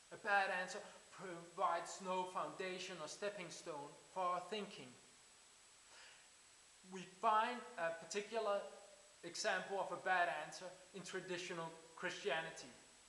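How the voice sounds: A man speaks at a high pitch with a bright, sharp tone. His pace is fairly slow, his intonation fairly even, and room echo is audible.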